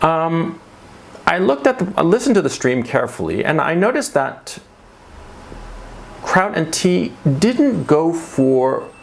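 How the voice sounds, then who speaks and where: With an American accent, the speech comes fairly slowly amid noticeable background noise. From United States. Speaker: commentary youtuber. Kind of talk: monologue commentary. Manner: conversational with filler words.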